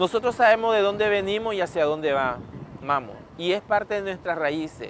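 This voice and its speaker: With noticeable background noise behind him, a man speaks at a moderate pace with lively intonation. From Caribbean coast of Nicaragua. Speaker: interviewee, coastal community member. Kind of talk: interview testimony.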